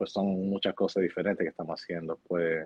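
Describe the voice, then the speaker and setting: Very deep and low, a man's voice moves at a fairly quick pace. His intonation stays fairly even. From New Jersey, Hoboken. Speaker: real estate agent. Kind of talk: interview.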